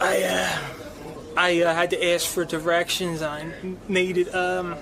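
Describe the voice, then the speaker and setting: A man's high pitch in monotone, flat intonation at a fairly slow pace, very even loudness and noticeable background noise. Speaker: show regular with a stutter. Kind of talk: casual chat. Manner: halting.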